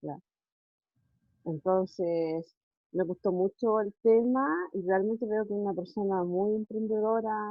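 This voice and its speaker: A woman with a Chilean accent, medium pitch for a woman, ordinary pitch variation, and long, frequent pauses, with music in the background. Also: fairly slow pace. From Chile, Puerto Montt. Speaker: schoolteacher asking a question. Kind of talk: audience question.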